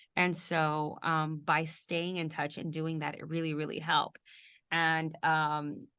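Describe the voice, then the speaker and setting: Speaking fairly slowly in a Spanish accent, the voice has a bright, sharp tone and flat, monotone intonation over a quiet background. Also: woman, very deep, low pitch for a woman. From Houston, Texas. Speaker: TV news reporter. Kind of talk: mentoring interview.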